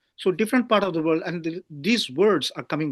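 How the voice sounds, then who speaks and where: The sound is close and dry, without any echo. A man does the talking. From Pondicherry, South India. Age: 60s. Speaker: writer. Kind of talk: interview. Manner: halting, stammering.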